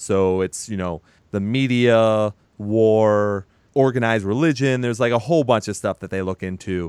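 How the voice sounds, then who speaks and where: Speech at a moderate pace with ordinary pitch variation comes through in a dry, close sound with no echo against a quiet background. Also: man, fairly low pitch for a man. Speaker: podcast host. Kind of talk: casual chat about music news and reviews. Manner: animated, joking, profane.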